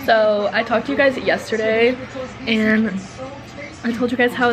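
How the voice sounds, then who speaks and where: A woman speaks fairly slowly in a flat, monotone voice. Music plays clearly in the background. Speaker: vlogger. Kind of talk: casual vlog chat. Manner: congested, nasal sick voice. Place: home room. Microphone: phone near.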